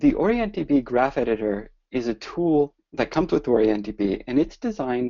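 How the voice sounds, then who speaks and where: A man with an American accent speaks in a plain, everyday voice. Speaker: business development director presenting software. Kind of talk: webinar presentation. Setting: online webinar.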